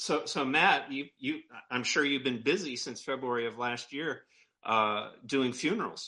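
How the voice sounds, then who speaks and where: A man's medium-pitched voice, bright and sharp in tone, with ordinary pitch variation at a fairly slow pace. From Maine. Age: 50s. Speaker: live stream co-host. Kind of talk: interview. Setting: studio.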